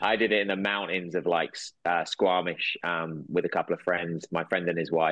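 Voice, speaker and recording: In a southern English accent, a man speaks with a very deep, low pitch, monotone, flat intonation and a moderate pace. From England. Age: 40s. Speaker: actor and entrepreneur. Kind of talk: casual chat.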